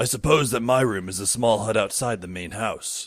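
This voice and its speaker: Putting on a character voice, a man speaks at a moderate pace and medium pitch, sounding raspy, with big swings in loudness. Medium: audio drama. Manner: long-winded, casual.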